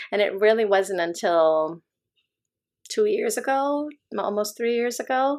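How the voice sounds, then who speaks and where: With a General American accent and a fairly high pitch, a woman speaks with lively intonation and long, frequent pauses. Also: fairly slow pace. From United States (Illinois, then Southern California). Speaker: podcast host and yoga teacher. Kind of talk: personal storytelling in conversation. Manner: hesitant, many fillers.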